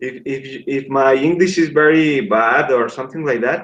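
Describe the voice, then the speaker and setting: A man speaks with a Spanish accent. His pace is fairly slow, with ordinary pitch variation. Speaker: English learner. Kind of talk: casual chat. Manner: halting.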